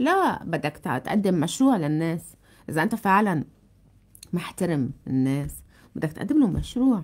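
Speaking fairly slowly with long, frequent pauses, a woman with a Lebanese accent uses a fairly low pitch and very wide pitch swings. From Lebanon. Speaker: TV journalist, political talk show host. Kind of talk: casual chat, interview. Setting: studio with audience. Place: studio. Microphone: studio mic.

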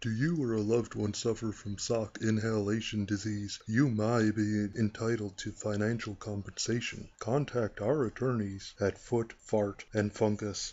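Doing a put-on character voice, a man talks at a moderate pace and medium pitch with hardly any pauses. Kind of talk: TV commercial read.

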